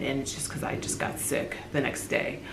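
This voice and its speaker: Over noticeable background noise and audible room echo, a woman talks at a very fast pace. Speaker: vlogger. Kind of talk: casual vlog monologue. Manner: hesitant, many fillers.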